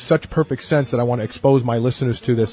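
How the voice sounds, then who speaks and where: A man's somewhat breathy voice at a very fast pace, ordinary pitch variation, dry, close sound with no echo. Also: quiet background. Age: 50s. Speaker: radio host. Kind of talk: radio interview.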